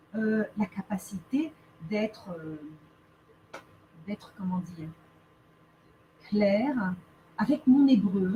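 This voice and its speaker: A woman's somewhat breathy, dark and mellow voice at medium pitch, very slow, with lively intonation, long and frequent pauses, and big swings in loudness. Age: 30s. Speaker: lawyer turned speaker. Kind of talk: interview.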